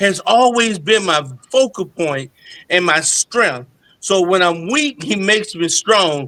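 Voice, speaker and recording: A man's raised, projected voice, bright and sharp, high-pitched with lively intonation, at a fairly slow pace, in a very clean recording with a silent background. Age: 60s. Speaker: gospel singer and pastor. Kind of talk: interview testimony.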